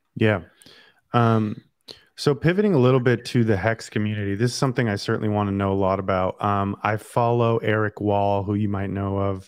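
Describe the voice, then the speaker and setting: A man with an American accent and an unremarkable speaking voice, fairly low in pitch, fairly even in intonation and fairly quick in pace, against a quiet background. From Northern California. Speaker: podcast host. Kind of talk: casual interview chat.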